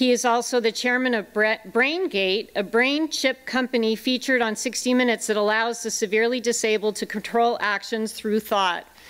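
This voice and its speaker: In an unremarkable speaking voice, a woman talks at a moderate pace with ordinary pitch variation and hardly any pauses. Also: fairly high pitch for a woman. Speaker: teacher. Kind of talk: speech introduction. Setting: stage with audience. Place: stage. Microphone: podium.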